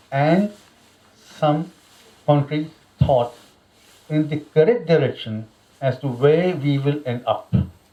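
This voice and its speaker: A man with an Indian accent speaks in a fairly high pitch with ordinary pitch variation. His tone is dark and mellow, and somewhat breathy. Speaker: religious lecturer. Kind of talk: religious lecture.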